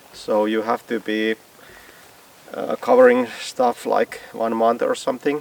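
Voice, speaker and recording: A man with a Finnish accent talks at a fairly slow pace with long, frequent pauses, his voice dry and close with no echo over noticeable background noise. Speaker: DIY builder. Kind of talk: tutorial. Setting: outdoors. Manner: halting.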